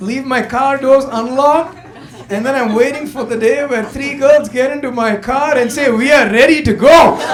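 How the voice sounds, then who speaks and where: Someone with an Indian accent speaks at a moderate pace and with fairly even intonation, amid noticeable background noise and audible room echo. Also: man, extremely high pitch for a man. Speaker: stand-up comedian. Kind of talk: stand-up. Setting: comedy club stage with audience.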